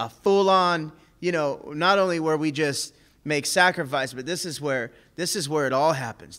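In a quiet background, a man speaks at a moderate pace with a bright, sharp tone. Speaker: preacher teaching a men's group. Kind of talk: sermon. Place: church. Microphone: podium.

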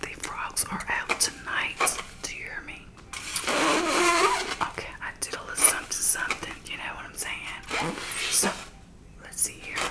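A woman whispers at a fairly slow pace, her loudness swinging widely. Noticeable background noise can be heard. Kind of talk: ASMR role play, pretending to cut a wig's hair. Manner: soft whispering.

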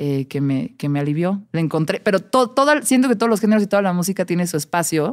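Over a quiet background, a woman talks at a very fast pace with lively intonation, a fairly low pitch and a dark, mellow tone. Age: 30s. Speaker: music journalist and radio host; podcast guest, music journalist. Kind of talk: casual chat. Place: studio. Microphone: studio mic.

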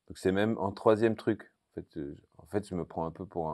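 Against a quiet background, a man with a fairly low pitch and a dark, mellow tone talks at a fairly quick pace. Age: 50s. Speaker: TV car show presenter; car show host. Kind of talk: casual interview. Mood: relaxed, storytelling. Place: hall. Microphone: lapel.

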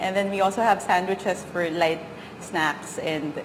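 A woman speaks with fairly even intonation. Light noise sits in the background. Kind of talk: interview answer. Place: cafe.

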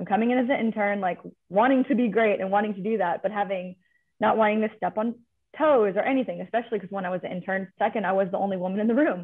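At a very fast pace, a woman speaks at a medium pitch with ordinary pitch variation over a quiet background. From California. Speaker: athletics administrative associate; panelist. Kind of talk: panel discussion. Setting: video call. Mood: friendly, animated. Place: office. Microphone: video call.

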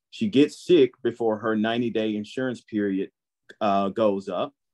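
Over a quiet background, a man speaks at a fairly slow pace with fairly even intonation. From Holly Springs, Mississippi; Mississippi. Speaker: physician; panelist. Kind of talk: panel discussion. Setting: video call. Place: home room. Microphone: video call.

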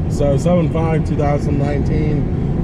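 A man is recorded with a dry sound with no echo over loud background noise. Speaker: vlogger. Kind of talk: casual vlog chat. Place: car. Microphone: phone near.

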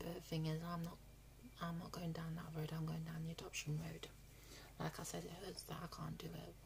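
A woman's very deep, low voice with vocal fry and monotone, flat intonation, at a moderate pace with long, frequent pauses and noticeable background noise. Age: 20s. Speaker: vlogger. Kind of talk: casual vlog update; casual vlog chat. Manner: halting, many fillers. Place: home room. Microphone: phone near.

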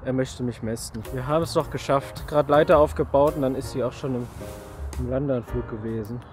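Clear music plays in the background as a man talks at a fairly quick pace, the sound dry with no echo. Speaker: plane spotter vlogger. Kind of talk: casual vlog chat. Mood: relaxed, joking. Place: open country.

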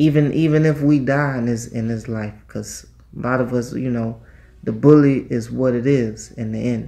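A man at a moderate pace, in a dark, mellow tone. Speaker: vlogger. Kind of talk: casual vlog chat. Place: home room. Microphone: phone near.

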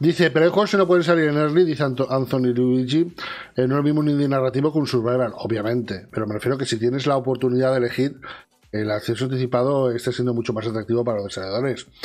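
Faint music plays in the background. A man rattles along at a very fast pace with ordinary pitch variation. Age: 40s. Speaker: video game news host. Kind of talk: casual chat. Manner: animated. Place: home room.

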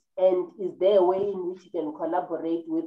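A woman speaks with a fairly low pitch. Room echo is audible, though the background is quiet. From South Africa. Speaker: online talk show host; interview host. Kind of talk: interview. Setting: video call. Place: home room. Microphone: webcam.

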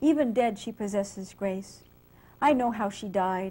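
In an American accent, a woman with a dark, mellow tone speaks at a moderate pace and ordinary pitch variation. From US West Coast (San Jose, California). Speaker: poet and English professor. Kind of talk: poetry reading. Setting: library reading with live audience.

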